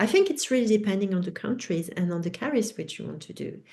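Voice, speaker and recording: In a French accent, a woman speaks with a dark, mellow tone. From France. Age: 50s. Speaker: educator and author. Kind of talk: webinar Q&A. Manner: halting.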